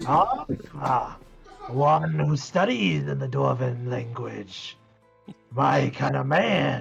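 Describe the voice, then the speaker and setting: A man's put-on character voice, raspy and at a medium pitch, very slow, over faint music in the background. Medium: actual play. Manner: gruff, terse.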